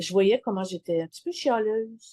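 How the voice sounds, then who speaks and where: A woman's fairly high, dark and mellow voice with a Quebec accent and lively intonation, in a dry, close sound with no echo. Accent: Québécois French. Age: 60s. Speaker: client sharing testimonial. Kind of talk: testimony interview. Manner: halting, many hesitations.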